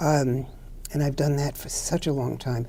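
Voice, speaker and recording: Fairly quick speech in an American accent with a dark, mellow tone. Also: woman. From New York City (Brooklyn). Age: 80s+. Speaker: clinical social worker. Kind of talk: interview.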